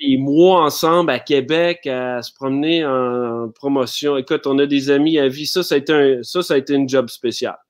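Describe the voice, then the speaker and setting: A man speaks at a moderate pace in a fairly high pitch, his intonation fairly even against a quiet background. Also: hardly any pauses. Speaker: actor. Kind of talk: casual interview. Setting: live stream. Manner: calm; halting.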